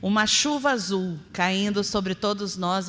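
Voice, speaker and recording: Fairly even intonation marks a woman's voice at medium pitch. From interior of São Paulo state, Brazil. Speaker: spiritist lecturer. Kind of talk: religious lecture.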